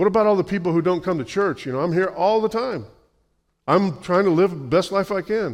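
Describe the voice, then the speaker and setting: Fairly quick, animated male speech against a quiet background. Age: 60s. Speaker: pastor. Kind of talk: sermon. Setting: church.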